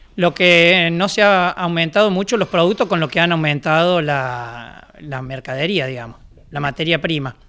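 A high-pitched man with a bright, sharp tone and ordinary pitch variation. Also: moderate pace. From Argentina, Córdoba province. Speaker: baker. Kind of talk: interview. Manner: hesitant. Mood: calm, reflective. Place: workshop. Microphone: handheld.

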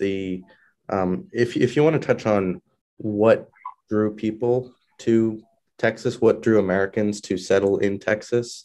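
A man's fairly low, dark, mellow voice at a fairly slow pace with fairly even intonation, over a quiet background. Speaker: history podcast host. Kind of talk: interview. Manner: hesitant, many filler words.

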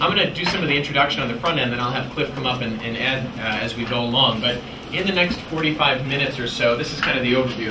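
There is noticeable background noise while a man is talking. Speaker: presenter. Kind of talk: lecture. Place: classroom.

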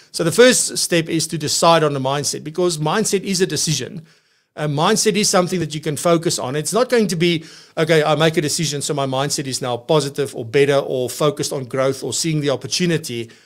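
Against a quiet background, a man speaks at a very fast pace with ordinary pitch variation. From South Africa. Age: 40s. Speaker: podcast host, financial practice coach. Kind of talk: live show presenting and talk. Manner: animated. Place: studio. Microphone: studio mic.

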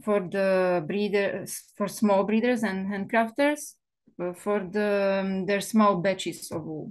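This woman has a Slovak accent and a medium pitch, speaking at a very slow pace. Her intonation is fairly even, and the background is quiet. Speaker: wool mill owner. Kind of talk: seminar presentation. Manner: halting, many fillers.

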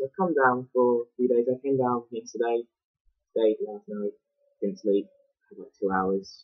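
Here is a man with an English accent. His pitch varies in an ordinary way. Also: quiet background. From England. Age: 20s. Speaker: vlogger; student vlogger. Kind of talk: vlog. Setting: uni room. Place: home room. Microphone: poor laptop mic, awful sound; webcam.

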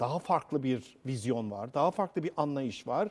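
A man with an unremarkable speaking voice and lively intonation at a fairly slow pace, on a very clean recording with a silent background. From Central Anatolia, Cappadocia. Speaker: TV presenter. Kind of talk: TV interview. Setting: on location in a rock-cut church.

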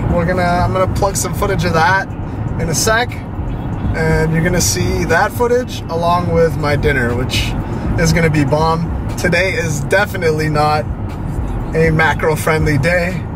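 Amid loud background noise, a man talks at a moderate pace with long, frequent pauses in a dry sound with no echo. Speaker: vlogger. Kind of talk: casual vlog chat. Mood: relaxed, upbeat. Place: car.

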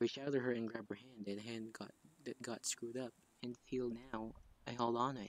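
What we hear is plain reading aloud.

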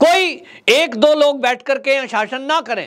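Against a quiet background, a man projects a raised voice at an extremely high pitch, with a bright, sharp tone, lively intonation and a fairly slow pace. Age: 40s. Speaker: political commentator. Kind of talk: political commentary monologue. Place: studio. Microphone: lapel.

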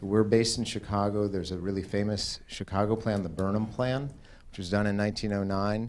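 A normal speaking voice with fairly even intonation comes through over light background noise. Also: man. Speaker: presenter. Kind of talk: public meeting presentation. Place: hall. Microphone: handheld.

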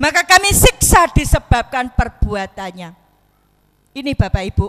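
A woman speaks in a raised, projected voice, high and bright with a sharp edge. Her pitch swings very widely. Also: quiet background. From Lombok, Indonesia (born in Solo); Lombok, Indonesia. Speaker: Islamic preacher. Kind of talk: sermon. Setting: mosque gathering. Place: hall. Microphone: handheld.

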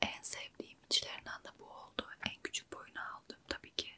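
Whispering and soft-spoken, a woman lets her loudness swing widely. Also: moderate pace. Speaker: beauty vlogger. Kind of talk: casual vlog chat. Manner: soft close-mic ASMR whisper. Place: home room. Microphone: earbuds.

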